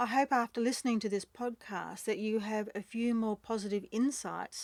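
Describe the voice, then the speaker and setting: On a very clean recording with a silent background, a woman with an Australian accent and a fairly high pitch speaks at a moderate pace with fairly even intonation. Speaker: podcast host, breakup recovery mentor. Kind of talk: podcast outro.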